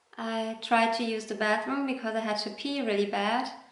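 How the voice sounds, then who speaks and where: A woman's fairly high voice with a non-native accent, amid noticeable background noise and audible room echo. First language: not English. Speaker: vlogger. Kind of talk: personal storytelling. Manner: hesitant, with fillers.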